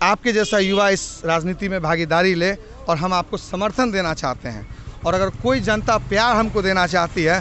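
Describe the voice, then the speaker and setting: A man with a high voice speaks at a fairly slow pace over light background noise. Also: dry sound with no echo. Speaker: election candidate. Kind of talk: interview answer. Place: street. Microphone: handheld.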